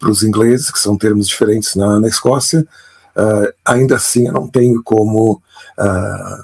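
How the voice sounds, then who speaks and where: A man with a fairly low pitch speaks at a fairly slow pace with very even loudness and ordinary pitch variation, in a dry, close sound with no echo. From Brazil, Pelotas, Rio Grande do Sul. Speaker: author and storytelling expert. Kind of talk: interview. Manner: halting, with many fillers and repetitions.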